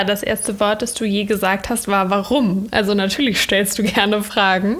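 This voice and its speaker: At a moderate pace, a woman speaks with a medium pitch and monotone, flat intonation over noticeable background noise. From Germany, Cologne. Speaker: entrepreneur and communication consultant, content creator. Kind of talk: interview, casual chat. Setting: video call from laptop.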